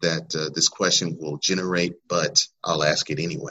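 A man talks at a moderate pace. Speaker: podcast host interviewer. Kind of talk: casual interview chat.

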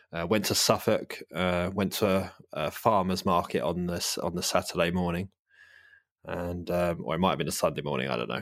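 A man with a London accent speaks in a very deep, low voice with vocal fry. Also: ordinary pitch variation, moderate pace, very clean recording, silent background. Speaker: podcast host. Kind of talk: casual chat.

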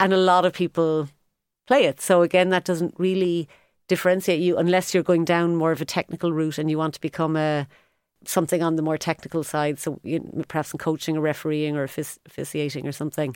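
Talking very fast, a woman with a Cork accent keeps a fairly even intonation. The sound is dry and close, with no echo. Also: fairly low pitch for a woman. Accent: Cork Irish. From Ireland, Cork. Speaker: sports business consultant. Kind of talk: interview. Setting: studio.

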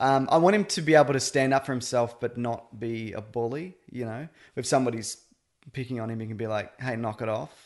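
A man with a plain, everyday voice talks at a fairly quick pace and medium pitch, with ordinary pitch variation. His loudness swings widely against a quiet background. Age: 30s. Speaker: podcaster, host's husband. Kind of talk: casual chat.

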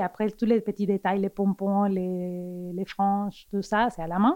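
A woman is speaking. She has a Spanish accent. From Argentina. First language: Spanish (speaking French). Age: 40s. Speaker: fashion designer. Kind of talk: casual interview. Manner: halting, with repetitions.

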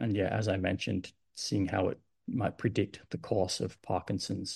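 Against a quiet background, a man with an Australian accent talks at a moderate pace with fairly even intonation. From Adelaide, South Australia. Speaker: medical research scientist. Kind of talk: podcast interview.

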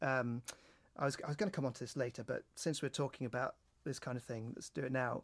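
A man with a British accent talks at a very fast pace, medium in pitch and fairly even in intonation. The recording is very clean, with a silent background and a dry, close sound with no echo. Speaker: podcast host. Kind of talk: casual chat.

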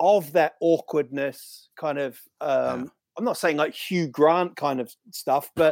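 A man with a New Zealand accent at a very slow pace. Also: fairly high pitch for a man, ordinary pitch variation. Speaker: stand-up comedian. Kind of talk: casual chat.

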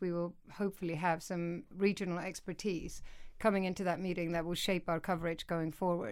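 Speaking in an Icelandic accent, a woman uses a fairly low pitch and monotone, flat intonation at a fairly quick pace. The recording is very clean with a silent background. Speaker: news executive editor. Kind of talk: interview.

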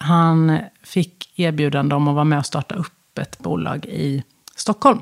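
A woman with a very deep, low pitch and ordinary pitch variation is heard in a dry, close sound with no echo. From Sweden, west coast (Halland). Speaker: business executive, former HR director. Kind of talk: interview conversation. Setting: studio.

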